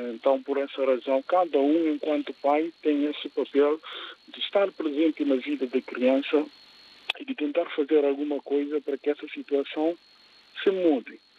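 A man speaks in a normal speaking voice at a fairly high pitch. His pace is moderate and his intonation fairly even. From Guinea-Bissau. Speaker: radio caller, father. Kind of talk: phone-in opinion.

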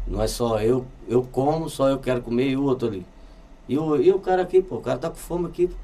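A man with a Brazilian accent at a moderate pace. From Brazil, Olinda, Pernambuco. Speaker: musician. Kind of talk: casual chat.

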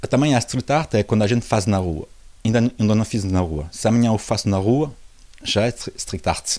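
A man's fairly low voice, dark and mellow in tone, at a very even loudness. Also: ordinary pitch variation, moderate pace. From France, Portuguese parents. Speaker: visual artist. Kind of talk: interview. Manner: halting.

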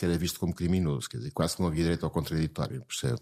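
Vocal fry runs through a man's very deep, low voice. The recording is very clean and the background silent. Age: 70s. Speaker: psychiatrist. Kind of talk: interview. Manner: halting, repeats words.

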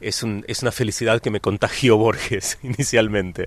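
A man's voice at medium pitch. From Argentina. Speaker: novelist. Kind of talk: interview. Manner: halting, many repetitions.

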